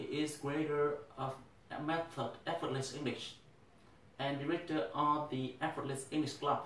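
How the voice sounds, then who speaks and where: Against noticeable background noise and audible room echo, a man with a Vietnamese accent speaks at a fairly slow pace. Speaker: English teacher. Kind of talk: speech.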